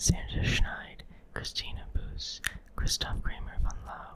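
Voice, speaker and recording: A whisper moves at a moderate pace while noticeable noise sounds in the background. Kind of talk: ASMR reading of a science article. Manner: whispered; soft.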